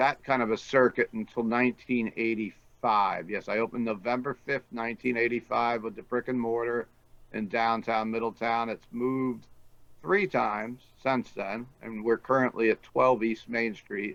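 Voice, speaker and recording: Speaking at a moderate pace, a man has a medium pitch and fairly even intonation. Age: 60s. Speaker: record and smoke shop owner. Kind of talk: casual interview. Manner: conversational, hesitant fillers.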